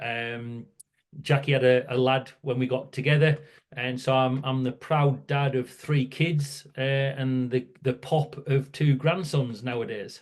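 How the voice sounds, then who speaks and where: Speaking with a northern English accent, a man keeps a monotone, flat intonation. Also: medium pitch for a man, fairly slow pace. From northern England, near Scottish border. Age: 60s. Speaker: workplace safety campaigner. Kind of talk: podcast interview.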